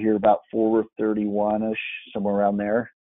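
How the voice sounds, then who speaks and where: A man is heard speaking. His fairly low voice stays monotone and flat. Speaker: trading instructor. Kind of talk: live online class.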